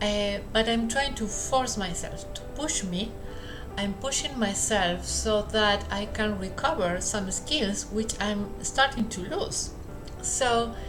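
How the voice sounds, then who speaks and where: Someone talks at a very slow pace with a Spanish accent while music plays in the background. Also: woman. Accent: non-native English, Spanish. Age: 50s. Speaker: English teacher. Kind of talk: casual talk to camera. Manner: slow, hesitant.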